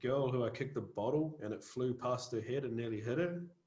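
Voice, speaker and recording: This man's voice is medium in pitch, somewhat breathy, with a dark, mellow tone. His pitch varies in an ordinary way at a moderate pace. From New Zealand. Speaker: metal musician. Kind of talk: casual interview chat.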